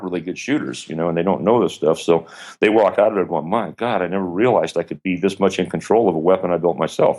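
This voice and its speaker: With an American accent, a man talks at a very fast pace in a very deep, low pitch, using ordinary pitch variation. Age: 50s. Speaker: gun manufacturer and instructor. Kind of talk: interview.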